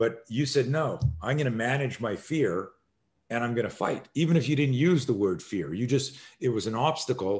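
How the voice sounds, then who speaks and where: The man's voice is somewhat breathy and sits at a medium pitch, with lively intonation. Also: moderate pace. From Canada. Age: 60s. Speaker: self-defense instructor. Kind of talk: podcast interview. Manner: animated.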